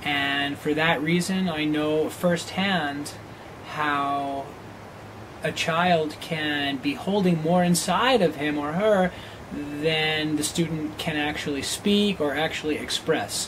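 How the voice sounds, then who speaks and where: A man speaks at a very slow pace with a fairly high pitch and ordinary pitch variation, amid noticeable background noise and audible room echo. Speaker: teacher applying for a job. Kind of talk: video job application. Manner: occasional stutter on word starts.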